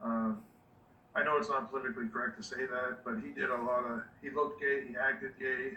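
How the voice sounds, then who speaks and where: At a very fast pace, a man with a medium-pitched voice and ordinary pitch variation speaks over noticeable background noise. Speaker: dog breeder. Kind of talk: casual chat. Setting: video call.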